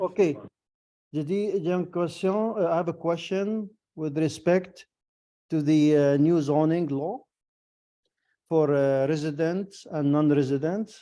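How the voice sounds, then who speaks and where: Pausing long and often, a man speaks at a very slow pace with a fairly high pitch, a dark, mellow tone and ordinary pitch variation. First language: not French (speaking French). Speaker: resident asking question. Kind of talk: public question at council. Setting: video call. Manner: halting, switches French and English.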